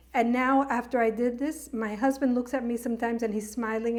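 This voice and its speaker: A woman's high voice with fairly even intonation, in a very clean recording with a silent background. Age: 60s. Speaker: journalist and show producer. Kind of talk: casual chat.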